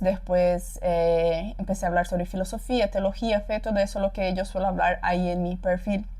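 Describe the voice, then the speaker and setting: Somewhat breathy, the speech moves at a moderate pace. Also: woman. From Paraguay, Brazilian parents. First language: Portuguese (speaking Spanish). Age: 20s. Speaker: content creator. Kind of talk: casual personal testimony. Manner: hesitant, many repetitions.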